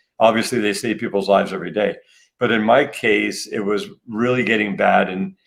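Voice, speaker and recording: A man's plain, everyday voice at a fairly quick pace, ordinary pitch variation, on a very clean recording with a silent background. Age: 60s. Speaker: health and wellness entrepreneur. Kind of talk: interview.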